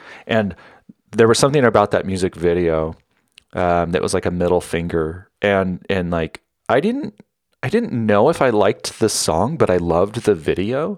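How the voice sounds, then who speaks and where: With an American accent and a normal speaking voice, a man talks at a moderate pace in a fairly low pitch with lively intonation, on a very clean recording with a silent background. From Northern California. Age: 40s. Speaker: solo podcaster. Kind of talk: casual personal monologue.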